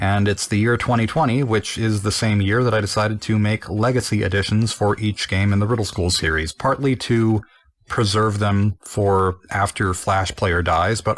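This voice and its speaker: A man speaks at a moderate pace in a normal speaking voice, his pitch fairly low with ordinary variation. The recording is very clean with a silent background, and his loudness stays very even. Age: 20s. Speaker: game developer. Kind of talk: developer commentary.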